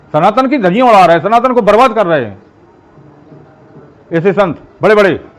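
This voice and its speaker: Over noticeable background noise, a man with a high pitch and lively intonation speaks with long, frequent pauses. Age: 70s. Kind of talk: interview.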